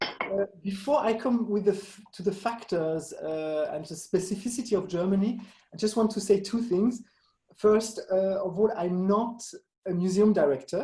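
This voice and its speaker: With a French accent, a man speaks at a moderate pace in a dark, mellow tone. His voice is high, with ordinary pitch variation. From Switzerland, French-speaking. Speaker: museum association director. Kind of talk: Q&A interview. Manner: halting, many fillers and restarts.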